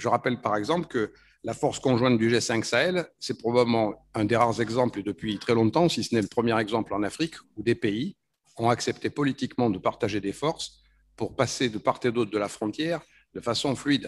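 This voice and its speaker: With ordinary pitch movement, a man talks fairly quickly. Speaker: speaker. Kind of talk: conference panel talk. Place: hall. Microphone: podium.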